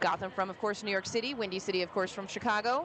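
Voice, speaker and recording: Noticeable background noise runs under this recording. A woman talks at a very fast pace. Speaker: roller derby announcer. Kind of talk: live commentary.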